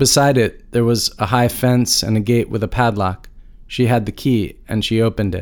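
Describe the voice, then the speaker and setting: Using a normal speaking voice, a man at medium pitch talks at a moderate pace with fairly even intonation. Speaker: podcast host. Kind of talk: interview, with scripted narration and story reading. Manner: reflective, thoughtful.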